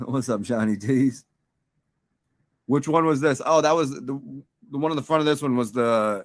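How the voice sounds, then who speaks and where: A man speaks in an American accent at a medium pitch. His pace is moderate, with long, frequent pauses. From New York and Baltimore. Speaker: livestream host. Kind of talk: casual chat. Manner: rambling, halting.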